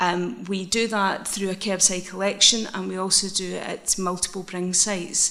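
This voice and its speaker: With noticeable background noise and audible room echo, a woman with a Scottish accent speaks at a medium pitch and a moderate pace. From Scotland, Isle of Bute. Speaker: social enterprise manager. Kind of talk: conference presentation. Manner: hesitant, many fillers.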